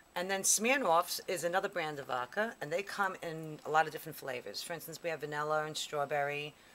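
Bright and sharp in tone, a woman speaks at a moderate pace and a fairly low pitch. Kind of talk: tutorial. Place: bar. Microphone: camera far.

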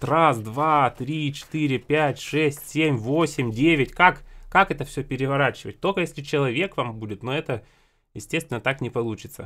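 With a bright, sharp tone and a fairly high pitch, a man speaks at a moderate pace using ordinary pitch variation. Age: 20s. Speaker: accordion teacher and video blogger; music channel host. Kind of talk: casual tutorial. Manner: conversational, repetitive. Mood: relaxed, mildly exasperated. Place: home room. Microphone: studio mic.

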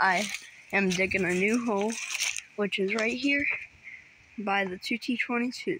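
A very slow woman's voice with ordinary pitch variation, dry with no echo, over noticeable background noise. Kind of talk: casual vlog chat. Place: garden. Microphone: phone near.

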